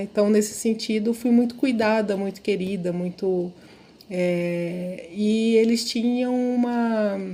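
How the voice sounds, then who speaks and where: This woman has a normal speaking voice. Her pitch is fairly high, with ordinary pitch variation. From interior of São Paulo state, Brazil (Araçatuba). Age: 50s. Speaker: professor of social work. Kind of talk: podcast interview, life story. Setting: podcast recording.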